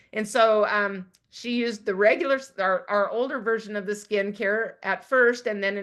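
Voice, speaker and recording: An unremarkable speaking voice from a woman, medium in pitch with fairly even intonation, at a moderate pace against a quiet background. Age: 60s. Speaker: network marketing consultant. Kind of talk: sales presentation.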